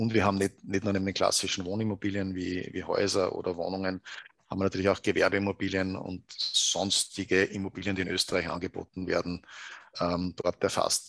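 A man speaks at a fairly quick pace with a very deep, low pitch. His intonation is monotone and flat, and the sound is dry and close with no echo. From Upper Austria, Salzkammergut. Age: 50s. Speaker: proptech company co-founder. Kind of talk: interview.

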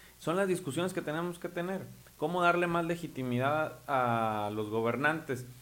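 A man talks in an unremarkable speaking voice, keeping a moderate pace and ordinary pitch variation. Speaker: local politician. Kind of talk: political interview.

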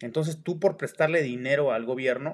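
A man speaks with a Mexican accent and ordinary pitch variation. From Mexico, Oaxaca. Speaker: personal finance podcaster. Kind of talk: casual monologue. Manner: halting, many fillers.

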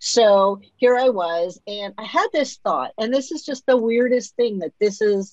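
Her voice is an unremarkable speaking voice, fairly high for a woman. She speaks with lively intonation and hardly any pauses. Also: fairly slow pace. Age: 50s. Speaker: podcast host and author. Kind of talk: interview, personal testimony.

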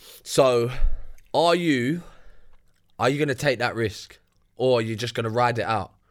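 Very clean and set against a silent background, this recording has a man with a London accent speaking at a moderate pace, with ordinary pitch variation and long, frequent pauses. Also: medium pitch for a man. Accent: London multicultural English. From UK. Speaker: podcast co-host. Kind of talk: casual chat.

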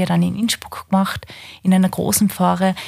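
A woman talks at a very fast pace. Her medium-pitched voice is somewhat breathy. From East Tyrol, Austria (Dölsach). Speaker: head of adult education in a diocese. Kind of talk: casual interview.

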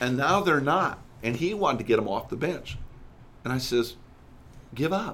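Lively intonation carries this voice along at a moderate pace, with audible room echo around it. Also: man. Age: 60s. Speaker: church consultant. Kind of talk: podcast interview.

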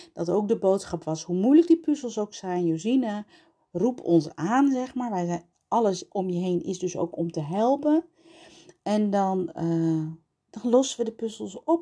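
A woman speaks in a dark, mellow tone at a fairly slow pace. Her pitch swings very widely. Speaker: pelvic floor physiotherapist and podcast host. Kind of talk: personal monologue. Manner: halting.

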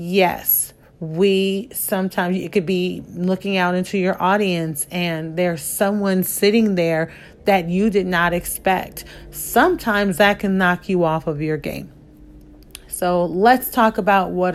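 A woman talks at a fairly slow pace in a fairly low pitch. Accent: American. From US Midwest. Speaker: podcast host, former HR trainer. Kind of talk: solo podcast talk giving advice.

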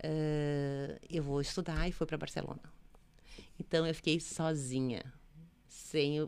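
A woman's very deep, low voice in monotone, flat intonation at a fairly slow pace, with long, frequent pauses. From Brazil, Rio Grande do Sul (Santo Ângelo). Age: 50s. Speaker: entrepreneur, women's network founder. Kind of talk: interview, personal life story. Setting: studio.

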